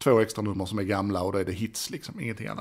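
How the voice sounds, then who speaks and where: The background stays quiet while a man speaks. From Sweden. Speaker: podcast host; home vlogger. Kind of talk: casual monologue. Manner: halting. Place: home room. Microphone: studio mic.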